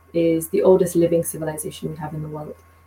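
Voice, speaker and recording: A woman is the speaker. Her accent is British. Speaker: community organizer and business professional. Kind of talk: casual interview discussion. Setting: video call.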